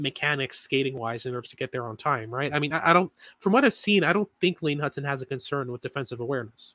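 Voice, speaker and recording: Very clean with a silent background, the recording has a dry, close sound with no echo. A man speaks at a fairly quick pace in a fairly high pitch, with a bright, sharp tone and ordinary pitch variation. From Montreal, Quebec. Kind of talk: casual analytical chat.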